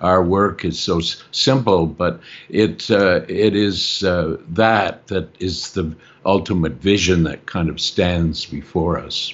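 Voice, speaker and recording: Very slowly, a man says his lines. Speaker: film narrator. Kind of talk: interview. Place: home room. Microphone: video call.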